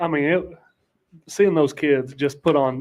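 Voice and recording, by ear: At a moderate pace, a man talks at a medium pitch with ordinary pitch variation and a slightly mellow tone.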